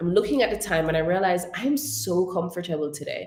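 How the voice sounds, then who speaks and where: A woman with a fairly low, somewhat breathy voice speaks at a moderate pace with very wide pitch swings. Audible room echo surrounds her. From Jamaica. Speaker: speech coach and webinar host. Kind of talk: webinar talk.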